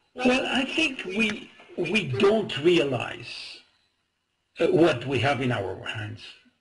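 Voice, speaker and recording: Audible room echo surrounds a man speaking at a very slow pace. His pitch swings very widely. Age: 70s. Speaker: medical advisor. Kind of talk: webinar interview. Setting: webinar. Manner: halting.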